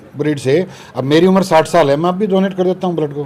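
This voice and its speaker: Noticeable background noise accompanies a high-pitched man speaking at a moderate pace with ordinary pitch variation. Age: 60s. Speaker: radiologist doctor. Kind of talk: casual interview.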